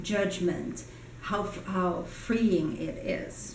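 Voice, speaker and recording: Noticeable background noise and audible room echo surround a woman. She speaks at a medium pitch with ordinary pitch variation. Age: 60s. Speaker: communication coach. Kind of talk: personal vlog monologue. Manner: hesitant with frequent fillers.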